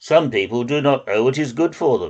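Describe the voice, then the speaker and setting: A man puts on a character voice at a moderate pace, his pitch sitting in the middle range. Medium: read story. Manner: pompous, elaborate, wordy.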